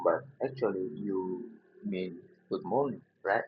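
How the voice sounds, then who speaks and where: A fairly slow-paced man with an Indonesian accent. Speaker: linguistics educator. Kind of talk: lecture. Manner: halting, many fillers.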